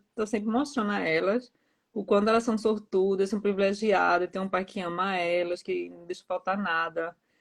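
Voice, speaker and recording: A woman speaks with a strong Pernambuco accent. Her pace is moderate. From Pernambuco, Brazil. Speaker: author. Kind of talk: casual interview. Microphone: too quiet.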